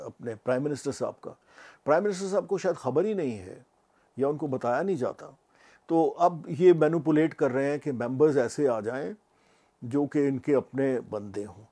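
A man's dark, mellow voice with big swings in loudness over a quiet background. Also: lively intonation. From Pakistan. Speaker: retired judge, former human rights commission chairman; retired judge. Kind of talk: interview. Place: home room.

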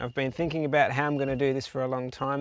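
The speaker is a man. The sound is dry with no echo. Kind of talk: casual vlog chat. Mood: relaxed, self-deprecating. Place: open country.

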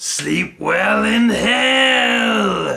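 A man puts on a character voice. It sounds raspy. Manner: gloating, mocking.

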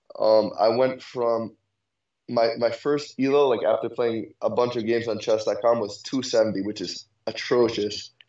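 A man with a New York accent speaks at a medium pitch with fairly even intonation. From Brooklyn, New York. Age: young. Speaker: chess student. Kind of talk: chess lesson. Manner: halting.

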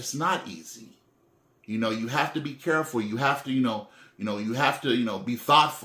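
The tone is bright and sharp at a fairly quick pace. Room echo is audible. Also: man, medium pitch for a man, ordinary pitch variation. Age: 40s. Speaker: faith vlogger. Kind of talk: personal monologue. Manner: halting, many fillers; repetitive stammering restarts. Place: home room. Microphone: phone near.

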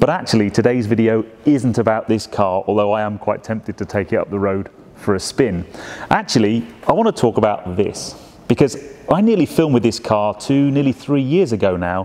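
Speaking at a fairly quick pace, a man uses ordinary pitch variation. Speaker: presenter. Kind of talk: presenter commentary. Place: shop.

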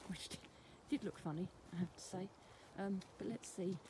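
A woman speaks with a somewhat breathy, dark and mellow tone and fairly even intonation over noticeable background noise. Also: dry sound with no echo. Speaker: folklore vlogger. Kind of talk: casual vlog chat. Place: open country. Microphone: phone near.

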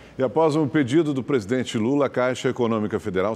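Over a quiet background, a man uses an ordinary speaking voice. He sits at medium pitch with ordinary pitch variation. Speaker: news anchor. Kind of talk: news reading. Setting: studio.

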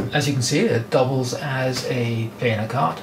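A man's voice comes through noticeable background noise. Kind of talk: tutorial. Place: workshop. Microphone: camera far.

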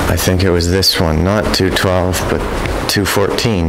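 Noticeable background noise sits behind a man speaking at a fairly slow pace in a very deep, low pitch with monotone, flat intonation. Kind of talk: casual vlog chat. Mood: puzzled, surprised. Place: empty room. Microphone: phone near.

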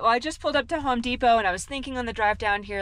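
A woman speaks in a bright, sharp tone. The sound is dry, with no echo. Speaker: vlogger. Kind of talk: casual vlog chat. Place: car. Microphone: phone near.

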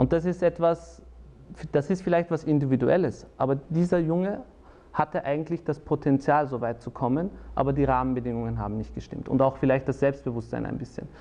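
With a dark, mellow tone, a man speaks fairly quickly at a fairly high pitch with ordinary pitch variation. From Austria, Salzburg; Austria. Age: 30s. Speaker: lawyer and politician; lawyer, politician. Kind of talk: personal interview monologue. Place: studio. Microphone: lapel.

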